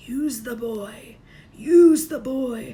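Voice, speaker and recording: Putting on a character voice, a woman speaks at a high pitch with ordinary pitch variation. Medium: read story. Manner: menacing.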